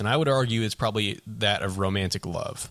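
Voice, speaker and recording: A man with a fairly low pitch talks at a fairly quick pace in a plain, everyday voice. The recording is very clean, with a silent background. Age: 20s. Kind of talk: casual chat.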